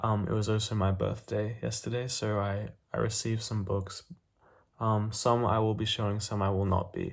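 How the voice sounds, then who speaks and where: A man mumbling at a moderate pace, somewhat breathy and monotone with flat intonation, in a very clean recording with a silent background. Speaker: booktuber. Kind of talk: casual vlog talk. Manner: halting, many fillers.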